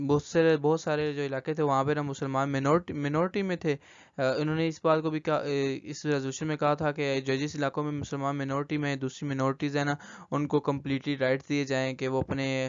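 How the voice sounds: At a fairly quick pace, a man talks with fairly high pitch and little pitch movement.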